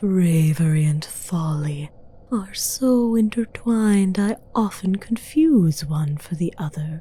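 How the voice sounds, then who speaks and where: A woman puts on a character voice at a medium pitch. She talks fairly slowly over light background noise. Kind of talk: ASMR roleplay. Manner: soft, teasing, dominant.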